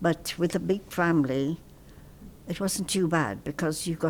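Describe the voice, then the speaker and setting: Speaking at a fairly slow pace, a woman uses ordinary pitch variation and some vocal fry. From Punjab, India; raised in India and Pakistan. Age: 80s+. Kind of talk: oral history interview answer.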